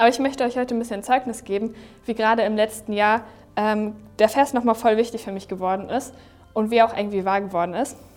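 Speaking at a very fast pace, a woman with a fairly high pitch keeps her intonation fairly even. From Germany, Neumünster area. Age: 20s. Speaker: young church volunteer. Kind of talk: testimony.

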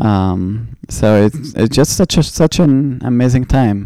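The tone is dark and mellow, with an Arabic accent. The pace is fairly slow. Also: man. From Egypt (Cairo). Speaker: Olympic swimmer. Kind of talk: interview.

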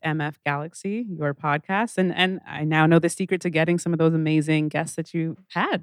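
A woman with a Canadian accent and an unremarkable speaking voice talks at a moderate pace with hardly any pauses, fairly low in pitch and fairly even in intonation, in a dry, close, very clean recording with no echo and a silent background. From Calgary, Alberta, Canada. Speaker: moderator, radio host and comedian. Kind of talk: on-stage interview. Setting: stage with audience.

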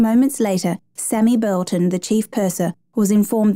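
Against a quiet background, the voice reads aloud naturally, its intonation fairly even.

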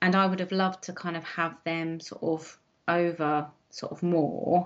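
A woman with an English accent speaks at a fairly low pitch. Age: 40s. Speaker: guest, mother. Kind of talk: interview. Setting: video call. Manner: halting.

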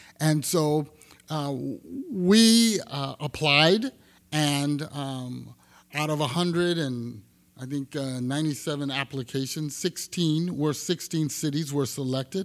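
Very slowly, a man speaks with an American accent and ordinary pitch variation. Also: fairly high pitch for a man, very clean recording, silent background. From Texas, Houston. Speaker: housing agency development director. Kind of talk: panel discussion.

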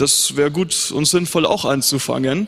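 In a plain, everyday voice, a man speaks at a moderate pace with a fairly high pitch and fairly even intonation. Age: young. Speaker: pastor. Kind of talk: panel discussion on stage.

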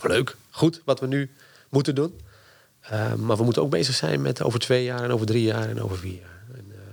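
Mixing vocal fry with lively intonation, a man talks fairly quickly at a medium pitch, with big swings in loudness. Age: 50s. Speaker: university lecturer and strategy consultant. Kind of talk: interview.

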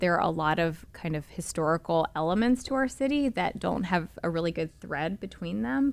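Here is a woman with an American accent. Her fairly low voice has lively intonation. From Charlotte, North Carolina. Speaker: historic preservation director. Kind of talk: interview. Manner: hesitant, many fillers.

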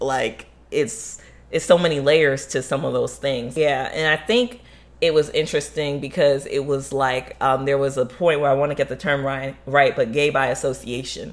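This woman has a very deep, low pitch and an American accent. Her intonation stays fairly even at a moderate pace. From Florida, US. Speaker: podcast host. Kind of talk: casual chat.

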